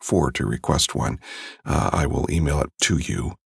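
A man speaks with an intense tone and vocal fry. The sound is dry and close, with no echo. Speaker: audiobook narrator and voice actor. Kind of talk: dramatic audiobook narration, first-person horror read aloud with hushed, tearful emotion. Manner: hushed, somber and intense, with a cracking, emotional delivery.

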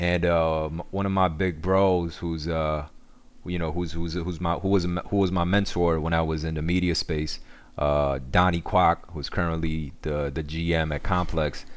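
A man speaks at a moderate pace in a very deep, low pitch, his intonation flat and monotone. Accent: New York. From Korea, raised in New York. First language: Korean. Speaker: social media cooking creator. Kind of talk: casual interview. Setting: remote call.

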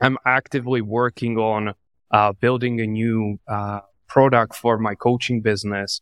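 A man's medium-pitched, plain, everyday voice at a fairly slow pace, dry and close with no echo, on a very clean recording with a silent background. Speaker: entrepreneur and coach. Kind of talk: interview conversation.

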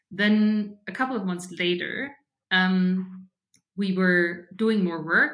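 A woman speaks with a German accent. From Germany, Bavaria (Regensburg). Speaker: fintech startup founder. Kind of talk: interview conversation.

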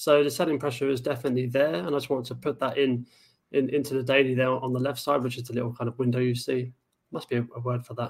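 Very fast and monotone, a man at a medium pitch speaks in a somewhat breathy voice with flat intonation. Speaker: trading show co-host. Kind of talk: casual chat about stock charts.

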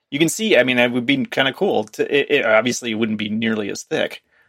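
Pitched at a medium level, a man with an ordinary speaking voice talks at a fairly quick pace with lively intonation in a very clean recording with a silent background. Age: 50s. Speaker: tech commentator. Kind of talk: casual chat.

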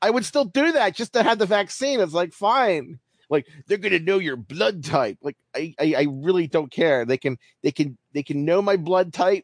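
Very wide pitch swings run through this moderately paced speech in an American accent. The sound is dry and close, with no echo. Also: man. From US, Baltimore. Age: 40s. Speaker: baseball writer. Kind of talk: casual chat.

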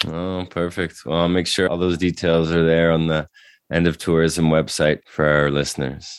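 This man has a very deep, low pitch and speaks at a moderate pace in a monotone, flat intonation. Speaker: podcast host. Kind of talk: interview conversation.

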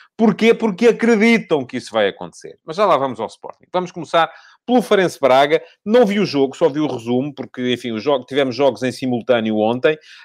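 On a very clean recording with a silent background, a man with a fairly high pitch talks at a fairly quick pace with very wide pitch swings. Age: 50s. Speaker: football pundit. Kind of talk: solo commentary show. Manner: hesitant with fillers.

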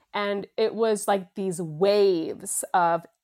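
Her pitch sits in the medium range with ordinary variation. The woman is on a very clean recording with a silent background. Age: 40s. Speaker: flower essence practitioner. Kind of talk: casual chat. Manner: animated.

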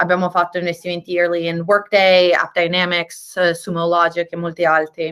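A woman is talking here. Her speed is moderate throughout. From Tuscany, Italy (Viareggio). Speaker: venture capital investor. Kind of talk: interview. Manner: halting with repeated words.

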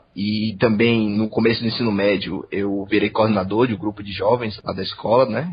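Speaking with hardly any pauses, a man's fairly low, somewhat breathy voice carries on. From Salvador, Bahia, Brazil. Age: 20s. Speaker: engineering trainee. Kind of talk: interview.

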